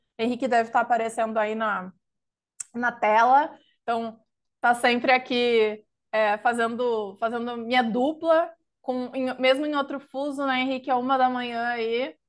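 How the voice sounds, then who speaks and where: Against a quiet background, a woman with a southern Brazilian accent speaks at a fairly slow pace in a high pitch with fairly even intonation. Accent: gaúcho Brazilian Portuguese. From southern Brazil (Rio Grande do Sul). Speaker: consultancy knowledge lead, webinar presenter. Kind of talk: webinar presentation. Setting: live online webinar.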